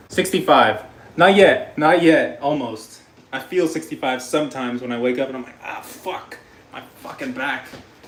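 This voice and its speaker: An animated tone with lively intonation and big swings in loudness, amid audible room echo and noticeable background noise. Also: man, fairly high pitch for a man, moderate pace. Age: 30s. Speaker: cooking livestreamer. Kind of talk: casual livestream chat while cooking.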